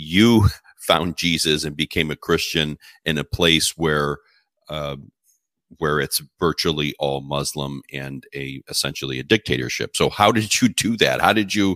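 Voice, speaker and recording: In an American accent, the voice has a bright, sharp tone, vocal fry, ordinary pitch variation, and big swings in loudness, with a dry, close sound and no echo. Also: man, very deep, low pitch for a man, fairly slow pace. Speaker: podcast host. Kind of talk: interview.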